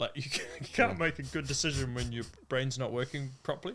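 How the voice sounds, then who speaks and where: Speaking at a fairly quick pace, a man uses a bright, sharp tone at a medium pitch with ordinary pitch variation. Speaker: downhill mountain bike racer. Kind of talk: podcast interview answer. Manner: casual, conversational.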